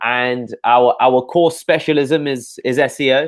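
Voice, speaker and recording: A man with a London accent and fairly even intonation. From England, London. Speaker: SEO agency owner. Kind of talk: interview on a live show. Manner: repetitive, halting with fillers.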